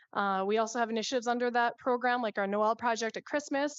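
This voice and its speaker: A woman with a Canadian accent, fairly high-pitched, very fast, with fairly even intonation. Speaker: nonprofit co-founder presenting to council. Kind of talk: council presentation.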